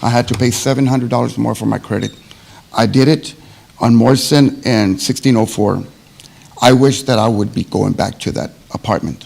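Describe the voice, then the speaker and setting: Amid noticeable background noise, a man talks at a moderate pace in a medium pitch with fairly even intonation. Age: 60s. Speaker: public commenter at housing authority meeting. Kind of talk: public comment. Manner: halting.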